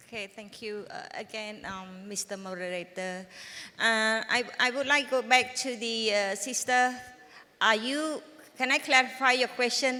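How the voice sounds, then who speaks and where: Fairly high-pitched, a woman speaks at a moderate pace in a Cambodian accent, with big swings in loudness. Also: ordinary pitch variation. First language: Khmer. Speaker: tax department official. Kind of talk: panel discussion.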